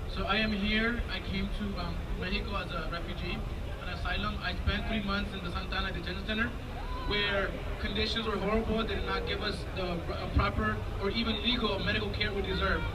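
Loud background noise runs beneath talking at a moderate pace. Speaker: interpreter at rally. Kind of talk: rally speech, consecutive interpreting into English. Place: street.

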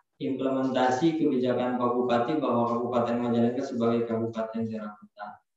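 A man is speaking. Strong room echo surrounds his voice. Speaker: local government official; presenter. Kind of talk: panel presentation. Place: office.

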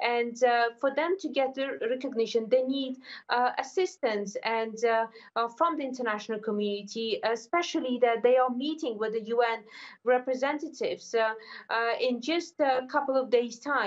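Moderate pace, ordinary pitch variation, and long, frequent pauses over a quiet background. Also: woman, high pitch for a woman. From Afghanistan. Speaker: political analyst. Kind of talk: news interview. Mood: calm, serious. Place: home room.

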